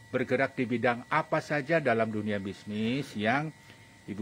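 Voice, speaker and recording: Speaking in a normal speaking voice, a man with a fairly low pitch and ordinary pitch variation goes at a fairly slow pace. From Bali. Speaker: talk show host. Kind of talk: interview.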